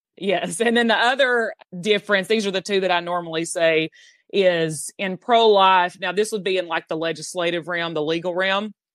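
A woman speaks with a Southern US accent at a moderate pace. Her pitch is medium, with ordinary variation. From US South. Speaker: abortion abolition activist. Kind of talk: interview.

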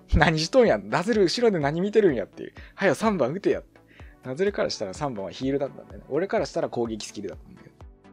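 With music playing behind him, a man talks very fast at a fairly high pitch, with very wide pitch swings and big swings in loudness. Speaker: Dota 2 commentator and radio-style podcast host. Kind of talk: casual solo podcast talk. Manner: fast, lots of filler sounds.

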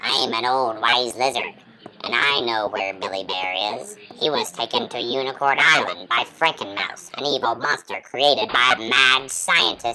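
A put-on character voice comes through at a low-to-middle pitch. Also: moderate pace.

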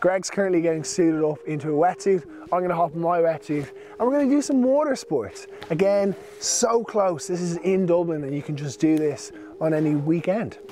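Light background noise plays under a man speaking at a fairly quick pace. The sound is dry, with no echo. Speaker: vlogger host. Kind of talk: casual vlog chat. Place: waterside.

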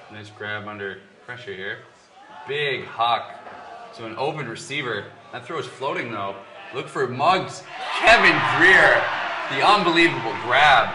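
An animated man, with long, frequent pauses and big swings in loudness, over noticeable background noise. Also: medium pitch for a man. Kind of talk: live commentary. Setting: stadium broadcast. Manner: animated, excitable play-by-play, quick bursts of 'ooh' and 'big' calls; rapid, clipped, reacting as plays unfold.

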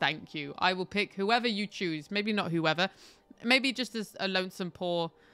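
Ordinary pitch variation in a plain read-aloud delivery

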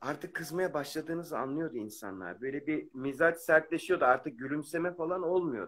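This man has an unremarkable speaking voice, fairly high in pitch with ordinary pitch variation, and he talks at a moderate pace with hardly any pauses. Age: 40s. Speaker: amateur football referee. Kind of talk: live-stream call-in chat. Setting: video call on a live stream.

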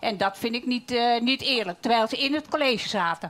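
At a moderate pace, a woman speaks with a high pitch and ordinary pitch variation. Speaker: local party leader. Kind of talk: debate. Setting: stage with audience. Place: hall.

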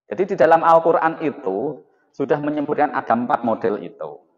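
Against a quiet background, the voice moves at a moderate pace with vocal fry and very wide pitch swings. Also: man. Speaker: lecturer. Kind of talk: lecture. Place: classroom.

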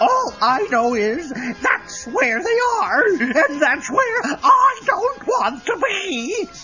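Putting on a cartoonish character voice, a man speaks slowly at an extremely high pitch with big pitch swings and a bright, sharp tone, while faint music plays in the background.

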